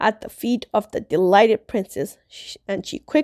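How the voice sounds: A quiet background surrounds this natural reading voice.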